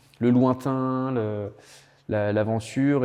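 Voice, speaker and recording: A man speaks with audible room echo around him. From Loire Valley, France. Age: 30s. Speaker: winemaker. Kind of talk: interview. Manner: halting, many hesitations and repetitions.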